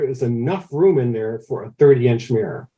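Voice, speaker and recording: A man's dark, mellow tone comes through somewhat breathy, with ordinary pitch variation. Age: 60s. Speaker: amateur astronomer, telescope builder. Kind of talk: podcast interview, casual storytelling. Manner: hesitant, repeats words often.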